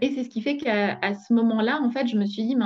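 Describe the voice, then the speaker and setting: A woman with a fairly high, somewhat breathy voice speaks at a moderate pace with ordinary pitch variation. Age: 40s. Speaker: entrepreneur. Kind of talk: interview. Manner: halting.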